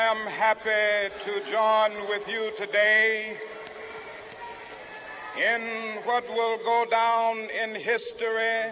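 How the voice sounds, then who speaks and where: Over noticeable background noise, a man with a high pitch uses a raised, projected voice, speaking very slowly in a monotone, flat intonation with long, frequent pauses. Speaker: civil rights leader. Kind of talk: public speech to a rally crowd. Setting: outdoors, public address. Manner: rhythmic, impassioned oratory.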